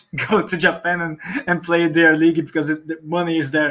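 Fairly quick and high-pitched, a man speaks with a Portuguese accent. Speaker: rugby journalist. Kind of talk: casual chat.

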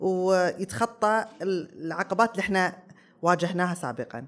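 At a moderate pace, a woman with medium pitch and ordinary pitch variation speaks in a normal speaking voice. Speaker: weightlifting athlete and gym owner. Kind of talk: panel talk before live audience. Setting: stage with audience.

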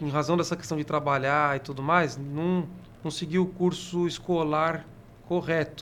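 A man's fairly high voice, with ordinary pitch variation and a moderate pace. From São Paulo. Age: 30s. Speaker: city councillor and podcast host. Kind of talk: casual interview.

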